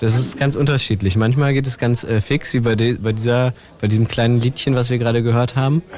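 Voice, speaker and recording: In a normal speaking voice, a man of medium pitch talks fairly quickly, with very even loudness and fairly even intonation. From Brandenburg, Germany (Teltow near Berlin). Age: young. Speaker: rapper. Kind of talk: casual chat.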